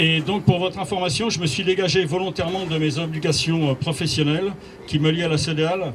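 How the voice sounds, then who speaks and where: Ordinary pitch variation from a man with a fairly high voice, moderate pace, and noticeable background noise behind him. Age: 60s. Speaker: municipal candidate, retired police officer. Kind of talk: campaign speech. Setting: campaign office inauguration with audience.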